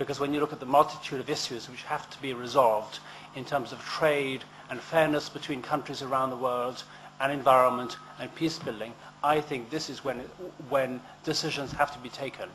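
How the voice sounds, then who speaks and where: Against noticeable background noise, a man speaks in a flat monotone. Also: medium pitch for a man, fairly quick pace, big swings in loudness. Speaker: election candidate. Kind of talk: campaign speech. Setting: public hustings event. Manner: fast.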